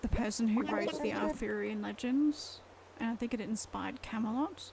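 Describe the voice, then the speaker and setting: Her pace stays moderate. The woman talks in an Australian accent. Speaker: gaming streamer. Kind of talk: live game stream chat.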